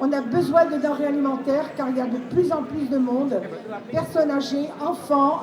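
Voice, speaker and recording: Against crowd noise and audible room echo, a woman with a high pitch speaks at a moderate pace with fairly even intonation. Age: 70s. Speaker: charity volunteer. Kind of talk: testimony.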